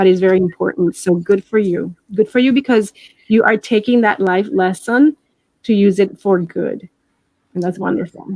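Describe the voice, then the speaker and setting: Dark and mellow in tone, a woman's medium-pitched voice moves at a moderate pace with ordinary pitch variation, in a dry, close sound with no echo. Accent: Puerto Rican. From Puerto Rico. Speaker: life coach and hypnotherapist. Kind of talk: interview. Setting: live stream.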